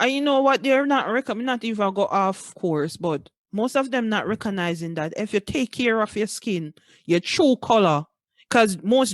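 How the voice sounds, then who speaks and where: A woman with a Jamaican accent speaks at medium pitch and a moderate pace, her pitch swinging very widely. The sound is dry and close with no echo, against a quiet background. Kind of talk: casual podcast conversation.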